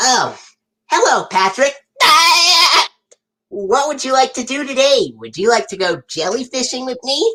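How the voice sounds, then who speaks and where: A high-pitched cartoonish character voice speaks with long, frequent pauses. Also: moderate pace. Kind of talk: casual live stream talk to viewers. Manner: upbeat.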